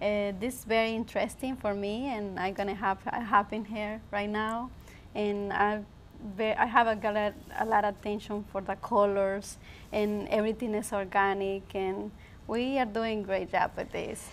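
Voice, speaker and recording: A woman with a Spanish accent and monotone, flat intonation. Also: medium pitch for a woman, moderate pace. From Honduras. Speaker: business student. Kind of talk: interview. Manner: halting.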